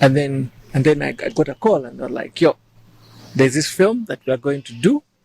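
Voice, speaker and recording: Recorded dry and close with no echo, the voice moves at a fairly quick pace, somewhat breathy and with lively intonation. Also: man, fairly high pitch for a man. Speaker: musician and actor. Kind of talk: interview. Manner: soft-spoken.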